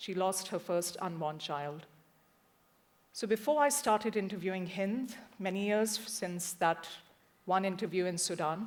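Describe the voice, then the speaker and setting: A woman with a Punjabi accent speaks at a medium pitch with ordinary pitch variation. Her pace is fairly slow, broken by long, frequent pauses. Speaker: journalist. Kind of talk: talk to an audience.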